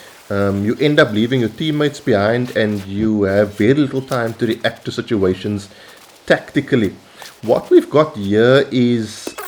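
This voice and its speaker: With a South African accent, a man speaks at a medium pitch and with lively intonation over noticeable background noise. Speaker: gaming YouTuber. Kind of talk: gameplay commentary. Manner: casual with frequent fillers.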